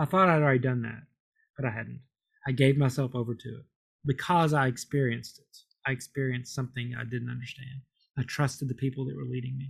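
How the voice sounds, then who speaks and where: A man with an American accent speaks at a very fast pace in a medium-pitched, somewhat breathy voice with fairly even intonation. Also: big swings in loudness. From Kentucky, US. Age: 50s. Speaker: Episcopal priest. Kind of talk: interview. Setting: remote call.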